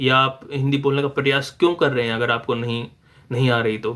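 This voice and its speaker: A medium-pitched man with a Haryanvi accent. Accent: Haryanvi-accented Hindi. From Haryana, India. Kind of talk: casual talk to camera.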